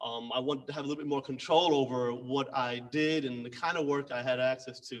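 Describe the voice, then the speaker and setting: An American-accented man talks at a fairly quick pace with hardly any pauses, his medium-pitched voice monotone and flat in intonation. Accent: New York accent, mostly hidden. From New York City. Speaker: acting instructor. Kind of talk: open house presentation. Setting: soundstage with audience. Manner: halting, many fillers.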